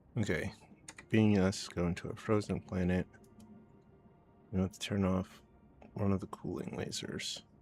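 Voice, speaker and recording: With music in the background, a man mumbles at a fairly slow pace in a very deep, low voice, his intonation monotone and flat, leaving long, frequent pauses. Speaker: video game streamer. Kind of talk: live gameplay commentary. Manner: mumbling.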